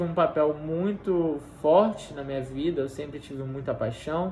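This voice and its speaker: The man's pitch is fairly high. His pitch varies in an ordinary way. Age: 20s. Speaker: university student tutor. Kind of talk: personal testimony.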